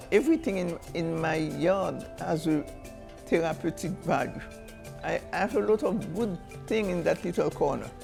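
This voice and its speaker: A woman with a Haitian accent speaks at a moderate pace in a fairly low voice with ordinary pitch variation, while music plays in the background. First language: Haitian Creole. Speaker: storyteller and folk artist. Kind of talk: interview answer.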